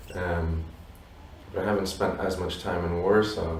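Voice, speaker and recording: Noticeable background noise and audible room echo surround a man whose very deep, low voice moves at a moderate pace. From raised abroad by Polish parents. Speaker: musician. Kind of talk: interview. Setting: Warsaw, view of stadium. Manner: halting, many fillers.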